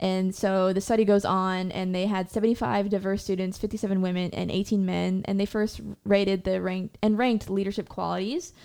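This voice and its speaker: A woman with a dark, mellow tone and a medium pitch speaks in a monotone, flat way with hardly any pauses, on a very clean recording with a silent background. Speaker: podcast co-host, brass player. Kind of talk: casual chat.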